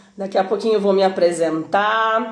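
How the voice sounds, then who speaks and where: A woman's medium-pitched voice, fairly even in intonation and fairly slow, with audible room echo. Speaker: swimming teacher and live-stream interviewer. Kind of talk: live-stream hosting. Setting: online live stream.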